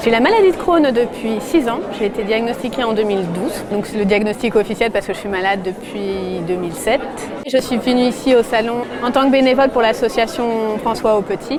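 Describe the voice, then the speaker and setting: Fairly high-pitched woman at a fairly quick pace with ordinary pitch variation, amid audible room echo and crowd noise in the background. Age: 30s. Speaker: patient testimony, volunteer. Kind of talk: testimony interview. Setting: at a trade fair.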